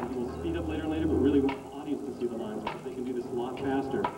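A man talks with music in the background. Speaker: demonstration announcer. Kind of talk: commentary. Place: street.

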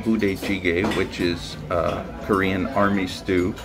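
Noticeable background noise behind a fairly low-pitched male voice. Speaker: food vlogger. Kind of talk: casual vlog chat. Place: cafe. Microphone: phone near.

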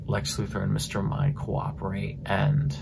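Quiet and at a fairly slow pace, a man speaks at a very deep, low pitch with very wide pitch swings over loud background noise. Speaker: comic book reviewer. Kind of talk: casual comic book review talk to camera. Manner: quiet, hushed. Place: home room. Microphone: phone near.

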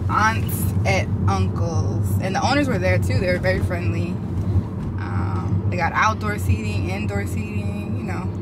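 Loud background noise sits under speech at a fairly slow pace. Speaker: vlogger. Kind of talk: casual vlog chat. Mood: relaxed, cheerful. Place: car.

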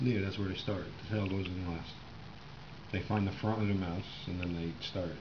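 Noticeable background noise surrounds a man whose very deep, low voice stays monotone and flat. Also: moderate pace. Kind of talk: casual commentary. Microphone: phone near.

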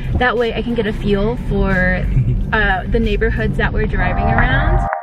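Music plays in the background of this dry, echo-free recording, with speech at a moderate pace. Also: woman. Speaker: vlogger. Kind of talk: casual vlog chat. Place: car. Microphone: phone near.

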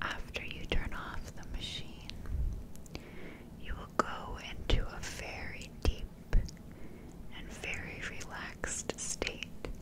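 A soft-spoken woman whispers with long, frequent pauses against loud background noise. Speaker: ASMR creator. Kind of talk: guided hypnosis sleep script. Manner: soft slow hypnotic whisper. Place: home room.

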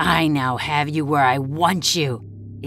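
At a fairly slow pace, a put-on character voice sits at a low-to-middle pitch over clear background noise. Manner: threatening, gloating.

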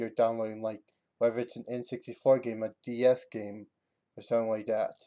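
The tone is dark and mellow, delivered in a flat monotone. The background stays quiet. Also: man. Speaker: video game tutorial maker. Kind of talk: screen-recorded tutorial narration. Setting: home computer mic. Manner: halting, stuttering.

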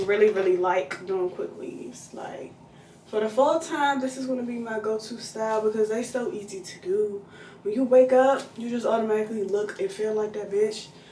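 A woman speaks at a moderate pace with ordinary pitch variation and big swings in loudness, amid audible room echo and light background noise. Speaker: lifestyle vlogger. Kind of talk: casual vlog chat. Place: bathroom. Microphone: phone near.

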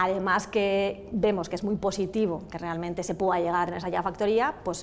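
A woman speaks with fairly even intonation over light background noise. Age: 50s. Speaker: automotive industry association president. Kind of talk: TV interview. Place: hall. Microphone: lapel.

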